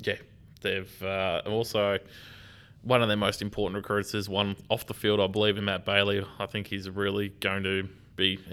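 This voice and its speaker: With an Australian accent, a man speaks in a fairly low pitch with monotone, flat intonation. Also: moderate pace. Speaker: football podcast co-host. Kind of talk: casual chat.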